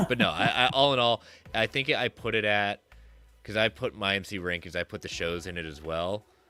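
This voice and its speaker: Fairly quick speech with ordinary pitch variation comes through dry and close, without echo, as music plays in the background. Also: man, fairly low pitch for a man. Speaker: podcast co-host.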